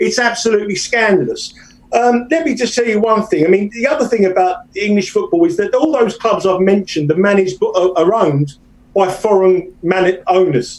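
With a British accent, a man speaks at a high pitch with lively intonation and very even loudness. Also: moderate pace. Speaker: soccer bettor. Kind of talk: casual interview.

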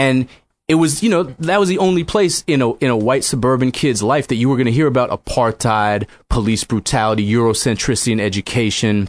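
Talking at a fairly quick pace, a man with a medium pitch has an unremarkable speaking voice, lively intonation and very even loudness, in a dry, close sound with no echo. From Boston suburbs (Newton), Massachusetts. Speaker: author. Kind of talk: casual chat.

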